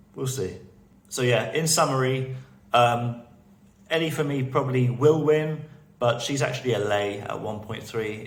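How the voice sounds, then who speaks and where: Room echo is audible as a man at medium pitch speaks at a moderate pace. His voice is somewhat breathy, with fairly even intonation. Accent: British. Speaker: TV betting analyst, video blogger. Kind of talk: casual video commentary. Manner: halting, repeated words.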